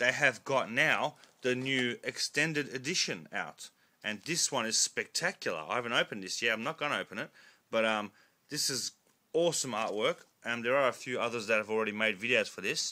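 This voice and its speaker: The speech is mumbled yet has a bright, sharp tone. It moves at a fairly quick pace with ordinary pitch variation. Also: man, medium pitch for a man. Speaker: collector video blogger. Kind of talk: casual vlog monologue. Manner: loud; mumbling.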